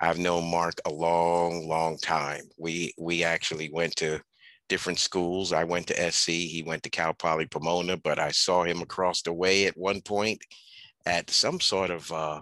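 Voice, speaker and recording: At a fairly slow pace, a man speaks with very deep, low pitch, a bright, sharp tone and monotone, flat intonation, in a dry sound with no echo over a quiet background. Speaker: faculty advisor host. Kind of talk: event introduction. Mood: warm, friendly. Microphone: headset.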